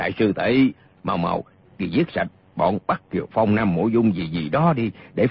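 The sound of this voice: The speaker uses an unforced reading voice.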